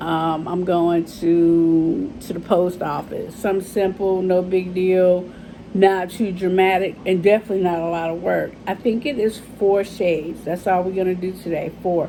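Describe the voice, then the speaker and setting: With noticeable background noise, a woman speaks at a moderate pace and medium pitch, her intonation monotone and flat, with hardly any pauses. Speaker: beauty vlogger. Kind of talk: makeup tutorial. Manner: casual, chatty.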